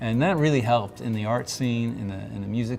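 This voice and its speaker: With music in the background, a man talks very fast at a medium pitch. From Montreal, Quebec, Canada. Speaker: artist. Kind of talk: interview answer.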